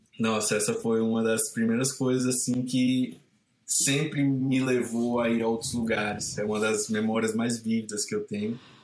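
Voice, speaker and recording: Monotone, flat intonation from a man at medium pitch, with very even loudness and a moderate pace. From Ceará, Brazil (Caucaia). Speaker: surf photographer and filmmaker. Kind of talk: casual interview.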